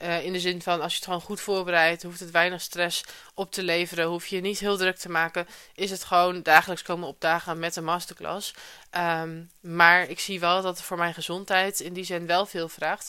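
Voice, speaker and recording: A woman with a fairly low pitch and a bright, sharp tone speaks at a moderate pace in a flat monotone, her loudness swinging widely, on a very clean recording with a silent background. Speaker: podcast host, online business coach. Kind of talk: solo podcast monologue, casual. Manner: casual, conversational, uses many filler words.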